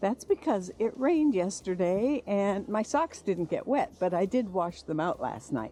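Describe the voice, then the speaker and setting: A woman talks with an American accent. Her intonation is lively. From United States. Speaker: travel vlogger walking a pilgrimage. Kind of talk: casual vlog narration. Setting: outdoors. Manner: hesitant, many fillers.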